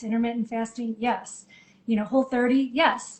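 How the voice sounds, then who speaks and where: Fairly high-pitched female speech over noticeable background noise. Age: 50s. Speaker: midlife coach and co-author. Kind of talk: casual interview chat.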